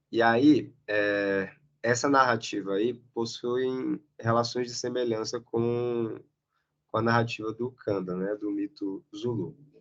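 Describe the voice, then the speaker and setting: Here a man speaks at a very slow pace. His pitch is medium. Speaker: academic presenter. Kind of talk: lecture. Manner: halting.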